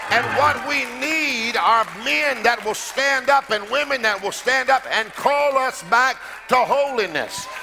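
A man's raised, projected voice at an extremely high pitch, with ordinary pitch variation, a fairly slow pace, and noticeable background noise. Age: 50s. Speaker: pastor. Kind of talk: sermon. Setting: church. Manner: animated.

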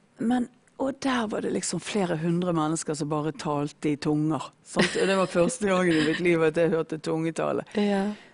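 A woman's fairly low voice, an ordinary speaking voice, at a moderate pace with lively intonation and hardly any pauses. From Norway, Bergen. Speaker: former drug addict sharing faith story. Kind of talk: testimony. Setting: studio.

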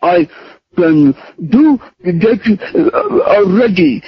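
Mumbling in a put-on character voice, a man speaks at a high pitch. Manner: mumbling, grudging.

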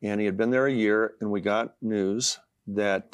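On a very clean recording with a silent background, a man speaks in a plain, everyday voice at a fairly low pitch with fairly even intonation. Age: 60s. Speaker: author. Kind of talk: casual chat.

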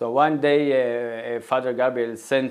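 In an Israeli accent, a man speaks with monotone, flat intonation. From northern Israel, Galilee. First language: Hebrew. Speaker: nonprofit co-founder. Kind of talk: interview.

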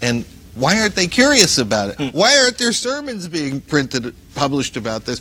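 A man with an American accent and lively intonation at a moderate pace, over noticeable background noise. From US Northeast, Paterson, New Jersey. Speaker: news editor. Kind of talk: interview.

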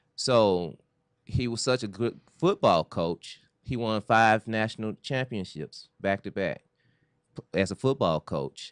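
Against a quiet background, a man with an ordinary speaking voice and a fairly low pitch talks at a fairly slow pace with lively intonation, in a dry, close sound with no echo. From US South, Memphis, Tennessee. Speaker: film director and writer. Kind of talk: interview. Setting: studio.

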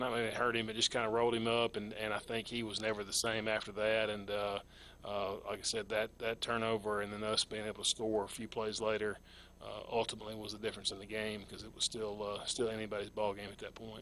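This man talks very fast in a fairly low, flat monotone, with an American accent. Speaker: high school football coach. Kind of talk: interview.

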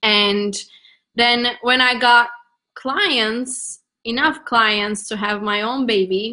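Bright and sharp in tone, a woman with a Turkish accent speaks in a fairly high voice with fairly even intonation. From Turkey. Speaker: marketing coach. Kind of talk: interview.

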